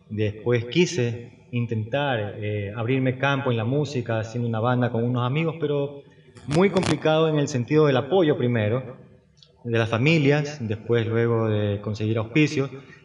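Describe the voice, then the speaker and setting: Over noticeable background noise, a man speaks at a moderate pace. His medium pitch has ordinary variation. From Ecuador, Guayaquil. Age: 50s. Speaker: painter. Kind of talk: interview.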